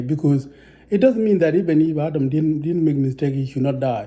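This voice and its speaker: Here a man speaks with ordinary pitch variation. His voice is somewhat breathy, with a dark, mellow tone. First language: not English. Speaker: religious teacher. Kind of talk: religious teaching monologue. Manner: halting, many repetitions.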